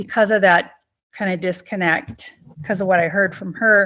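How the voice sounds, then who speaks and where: A woman speaks with an American accent in an unremarkable speaking voice. Her pitch is medium, with ordinary variation. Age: 60s. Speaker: person in recovery. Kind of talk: interview testimony.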